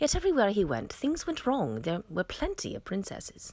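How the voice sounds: Her slightly mellow tone moves through very wide pitch swings as the woman speaks. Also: medium pitch for a woman, moderate pace.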